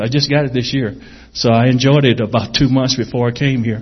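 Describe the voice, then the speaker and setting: A man with a somewhat breathy voice speaks at medium pitch with fairly even intonation. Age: 50s. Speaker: missionary. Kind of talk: testimony. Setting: church.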